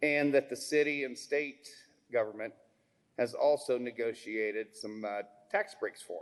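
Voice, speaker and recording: A man uses an ordinary speaking voice and talks at a moderate pace. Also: fairly high pitch for a man, ordinary pitch variation. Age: 60s. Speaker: member of the public giving testimony. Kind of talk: public testimony. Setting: public hearing in a school.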